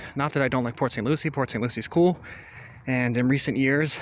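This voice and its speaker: A man with an American accent at a medium pitch, fairly quick in pace, with fairly even intonation. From South Florida (Hollywood, FL). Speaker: vlogger. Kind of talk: walking tour narration. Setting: outdoors. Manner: casual.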